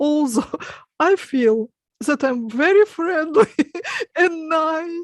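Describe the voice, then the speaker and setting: With a Russian accent, a woman talks at an extremely high pitch and a very slow pace, using lively intonation and long, frequent pauses, in a dry, close sound with no echo. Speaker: hypnotist. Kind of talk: panel discussion.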